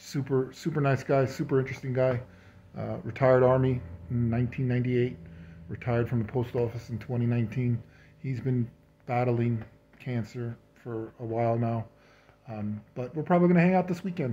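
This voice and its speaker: The voice is dark, mellow and somewhat breathy, moving at a fairly quick pace with ordinary pitch variation. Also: man, medium pitch for a man. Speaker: cancer patient. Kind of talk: casual video update to camera. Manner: hesitant, many fillers.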